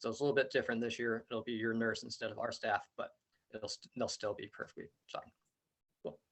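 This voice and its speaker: The speech moves at a very fast pace. Long, frequent pauses break it up. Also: man. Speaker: outdoor education camp coordinator. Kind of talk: parent information meeting presentation. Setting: video call.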